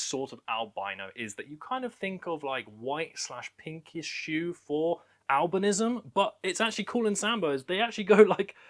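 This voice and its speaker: This man has a British accent and a high pitch. His pitch swings very widely. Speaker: reptile keeper and breeder. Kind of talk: casual presentation, room tour. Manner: fast.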